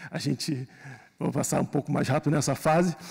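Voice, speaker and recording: The speaker is a man with a fairly high pitch. Vocal fry runs through his voice. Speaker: public sector data analyst presenting. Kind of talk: conference presentation. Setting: conference hall. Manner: halting.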